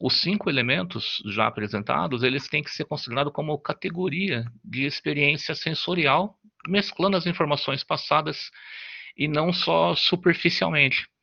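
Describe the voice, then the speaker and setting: A man talks at a moderate pace with a fairly high pitch and vocal fry. His tone is bright and sharp, against a quiet background. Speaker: student presenter. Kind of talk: class presentation. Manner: halting.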